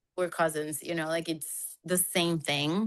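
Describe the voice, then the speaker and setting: A bright, sharp tone in a Spanish accent at a moderate pace. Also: woman. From Colombia. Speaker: podcast co-host. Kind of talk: casual chat. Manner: animated.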